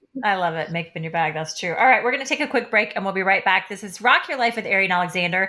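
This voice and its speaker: At a very fast pace with hardly any pauses, a woman with an American accent sounds animated, her tone bright and sharp and her intonation lively. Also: medium pitch for a woman. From Kansas and Oklahoma. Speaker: radio host, life coach. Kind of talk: radio interview; radio promo.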